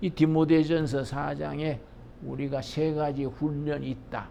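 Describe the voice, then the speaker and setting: A man talks at a fairly high pitch in a dark, mellow tone. Room echo is audible. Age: 80s+. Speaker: pastor. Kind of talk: lecture; sermon.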